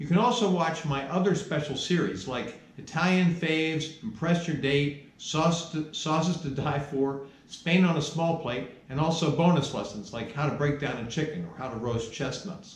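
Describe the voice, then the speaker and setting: A man talks with hardly any pauses, and room echo is audible. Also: ordinary pitch variation, moderate pace. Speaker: cooking instructor. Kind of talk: lecture. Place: kitchen.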